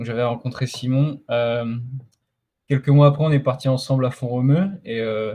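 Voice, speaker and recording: A man with a dark, mellow tone speaks at a moderate pace in a medium pitch with fairly even intonation. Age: 20s. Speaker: middle-distance runner. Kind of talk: podcast interview. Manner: halting, many fillers.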